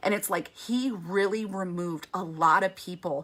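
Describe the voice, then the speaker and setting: Loud and animated, a woman of medium pitch speaks at a moderate pace with a bright, sharp tone and ordinary pitch variation. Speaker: women's ministry speaker. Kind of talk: faith talk to women.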